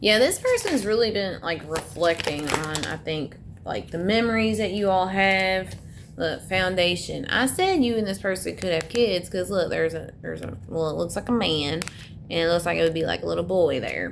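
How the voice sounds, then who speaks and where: A woman with an American accent at medium pitch and a moderate pace, with ordinary pitch variation and noticeable background noise. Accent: Southern US, strength disputed. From US South. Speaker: tarot reader. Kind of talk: tarot reading monologue. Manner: casual, chatty with fillers.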